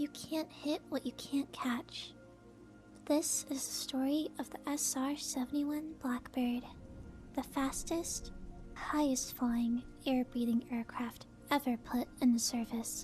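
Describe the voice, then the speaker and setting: Soft-spoken and calm, a woman talks at a very slow pace. Music plays in the background. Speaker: VTuber. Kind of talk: aviation fact narration. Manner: sleepy, calm.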